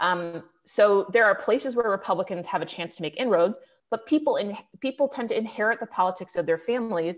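Against a quiet background, a woman speaks at a fairly quick pace with lively intonation. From Cleveland, Ohio; Ohio. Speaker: political journalist. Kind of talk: webinar interview. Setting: online webinar. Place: home room. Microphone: earbuds.

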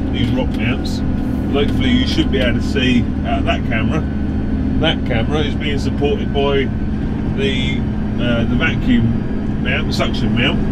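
Loud noise fills the background. Over it, a man talks. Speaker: farmer reviewing camera mounts. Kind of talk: casual vlog chat. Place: farm machine. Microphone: camera far.

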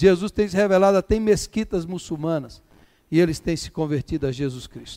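A man speaks at a fairly quick pace with a high pitch. His tone is dark and mellow, with ordinary pitch variation. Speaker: preacher. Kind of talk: sermon. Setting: church. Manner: exhortative, fervent, hammering urgent commands at the congregation; repetitive, rhythmic, building in short punchy lines.

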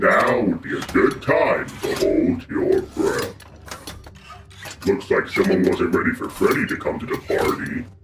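Putting on a character voice, a man speaks at a fairly slow pace with a slight echo and clear background noise. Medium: voice reel. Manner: taunting, menacing.

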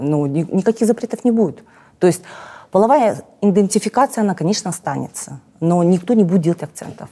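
Speaking at a fairly quick pace, a woman has a dark, mellow tone and lively intonation. Long pauses come often. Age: 40s. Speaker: cosmetologist and blogger; blogger. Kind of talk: interview. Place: studio. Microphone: lapel.

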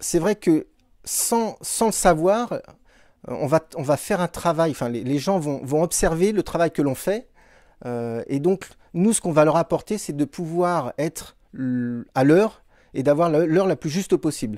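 Against a quiet background, a man with a high pitch and a dark, mellow tone speaks fairly slowly with lively intonation, the sound dry with no echo. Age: 30s. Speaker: municipal clockmaker. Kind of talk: interview. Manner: halting, many fillers and repetitions. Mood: calm, earnest. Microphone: handheld.

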